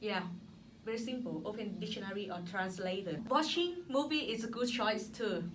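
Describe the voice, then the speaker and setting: Lively intonation in a Thai accent, with audible room echo and noticeable background noise. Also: woman, fairly high pitch for a woman, moderate pace. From Thailand. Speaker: former teacher, graduate student. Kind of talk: casual interview. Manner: halting.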